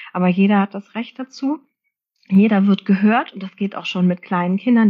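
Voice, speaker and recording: A somewhat breathy woman's voice at a moderate pace with fairly even intonation. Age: 40s. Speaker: social worker and parenting coach. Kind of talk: interview.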